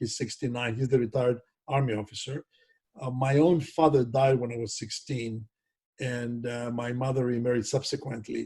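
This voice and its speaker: Here a man talks at a moderate pace and medium pitch, monotone and flat. His voice is somewhat breathy with a dark, mellow tone. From Greece, Thessaloniki. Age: 70s. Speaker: biotech executive and scientist. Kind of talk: oral history interview.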